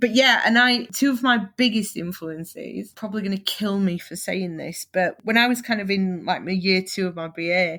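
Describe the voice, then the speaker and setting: A woman in a Northern English accent at medium pitch, with ordinary pitch variation and a moderate pace, on a very clean recording with a silent background. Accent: Northern English, stands out. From northern England, Leeds, Yorkshire. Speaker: photographer. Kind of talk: interview. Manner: animated.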